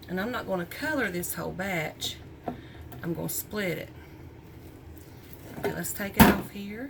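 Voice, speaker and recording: A woman with an American accent, medium pitch and lively intonation, leaving long, frequent pauses, amid noticeable background noise and audible room echo. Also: moderate pace. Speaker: small soap business owner. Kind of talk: tutorial. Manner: casual, chatty.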